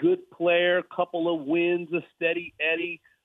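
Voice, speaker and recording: A man speaks with an American accent at a moderate pace. His pitch is high. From Los Angeles. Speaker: golf broadcaster. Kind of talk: interview.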